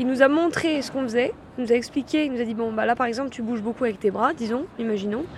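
Noticeable noise sits behind the woman's high voice, whose pitch shifts in an ordinary way. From France (Lyon). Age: 20s. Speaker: dance workshop participant. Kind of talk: interview.

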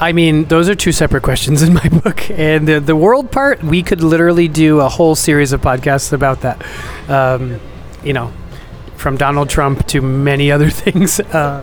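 A man with an American accent, fairly high pitch, ordinary pitch variation, moderate pace and very even loudness, over noticeable background noise. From New York. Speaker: entrepreneur. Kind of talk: casual interview.

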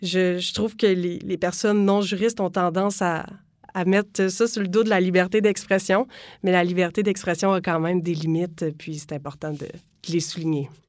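An ordinary speaking voice at a moderate pace, with fairly even intonation, on a very clean recording with a silent background. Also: woman, medium pitch for a woman. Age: 20s. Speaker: law student. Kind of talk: interview.

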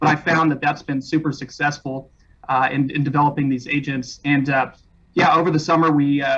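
A man talks at a fairly quick pace in an American accent. His voice is fairly high and flat, in a monotone. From California, Mojave Desert. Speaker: real estate broker owner. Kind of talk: interview.

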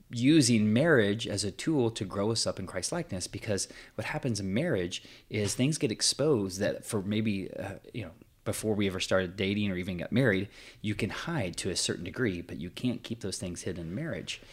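In a very clean recording with a silent background, a man with a plain, everyday voice speaks at a moderate pace, with fairly low pitch and lively intonation. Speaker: podcast co-host, prays and reads scripture. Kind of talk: casual conversational podcast chat.

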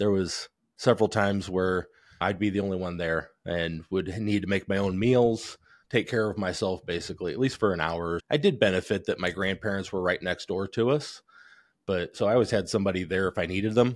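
A man with a Midwestern American accent, fairly low pitch, ordinary pitch variation and a fairly quick pace, on a very clean recording with a silent background. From northern Indiana, Elkhart County. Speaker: company vice president. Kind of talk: interview conversation.

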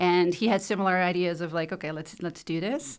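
A woman talks at a very fast pace in a Dutch accent. Her pitch is medium. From Netherlands. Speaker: life and business coach. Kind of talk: casual interview.

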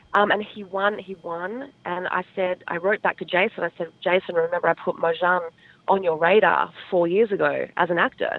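A woman talks at a moderate pace in an Australian accent. Her intonation stays fairly even. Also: medium pitch for a woman. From Australia, Adelaide. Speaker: talent manager and entrepreneur. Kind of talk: interview.

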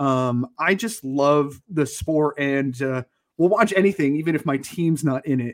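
This is an unremarkable speaking voice with an American accent and lively intonation. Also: man. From Connecticut. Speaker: podcast co-host. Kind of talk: casual chat.

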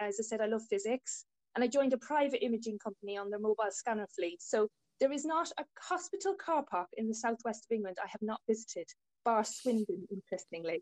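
A very fast Irish accent with lively intonation, dry and close with no echo. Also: woman, fairly high pitch for a woman. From Ireland, rural Tipperary. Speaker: diagnostic radiographer. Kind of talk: interview.

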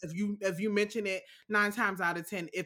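A woman's bright, sharp voice in an American accent at a fairly quick pace. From Alexandria, Virginia (DC metro area). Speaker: podcast creator and sound designer. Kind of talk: casual interview. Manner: halting, many fillers.

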